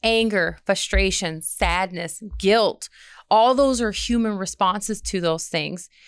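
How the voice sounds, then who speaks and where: A woman's medium-pitched voice with an American accent, very slow pace and ordinary pitch variation, in a very clean recording with a silent background. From Michigan. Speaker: army social worker. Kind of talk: interview. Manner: halting.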